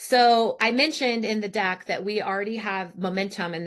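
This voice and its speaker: The background stays quiet. Intonation is fairly even. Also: woman. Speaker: startup founder and CEO. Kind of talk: investor webinar presentation. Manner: fast.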